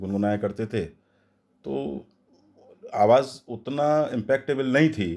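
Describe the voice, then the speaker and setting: A man is speaking. His intonation is lively. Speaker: voice over artist. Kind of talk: interview answer.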